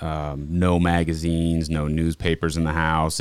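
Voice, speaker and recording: On a very clean recording with a silent background, a man with an American accent speaks in a monotone, flat way at a very deep, low pitch. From Montana, US. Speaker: diesel shop manager. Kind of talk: testimony.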